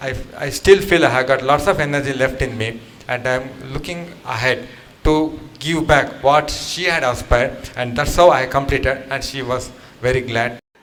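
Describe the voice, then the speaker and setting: Noticeable background noise behind a man's moderate-paced voice, medium in pitch with ordinary pitch variation. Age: 60s. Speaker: program participant. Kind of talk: testimony.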